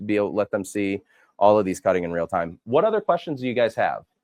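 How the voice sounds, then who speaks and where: Over a quiet background, a man talks at a very fast pace. His pitch is fairly low and his intonation lively. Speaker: product demonstrator. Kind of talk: live product demo with audience questions. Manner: loud.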